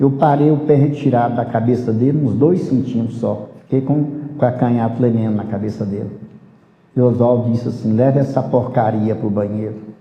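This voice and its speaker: Somewhat breathy and medium in pitch, a man speaks at a fairly quick pace with fairly even intonation amid audible room echo. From rural Brazil. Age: 70s. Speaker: capoeira master. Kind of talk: life story interview.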